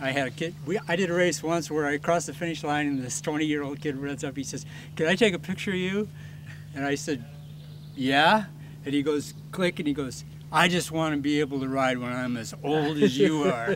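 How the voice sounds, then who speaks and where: A man with an ordinary speaking voice, fairly high in pitch, fairly quick in pace and fairly even in intonation. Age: 60s. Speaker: mountain bike club trail director. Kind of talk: casual interview.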